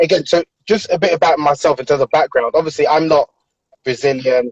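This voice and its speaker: In a British accent, a man with a fairly high pitch talks with ordinary pitch variation in a dry, close sound with no echo. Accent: UK. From London, UK (Nigerian family). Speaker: author. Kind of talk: interview conversation. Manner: hesitant, many filler ums.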